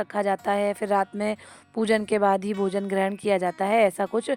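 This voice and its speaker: With music in the background, the speech comes at a moderate pace in a monotone, flat intonation, with a dry, close sound and no echo. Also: woman. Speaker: vlogger; schoolteacher. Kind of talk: casual home vlog.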